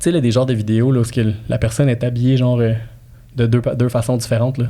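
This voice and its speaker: Evenly loud throughout, a man speaks at a very fast pace and a medium pitch in a dark, mellow tone. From immigrant to Quebec. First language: not French (speaking French). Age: 30s. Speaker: real estate broker and marketing specialist. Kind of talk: podcast interview, casual chat. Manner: animated, repetitive fillers.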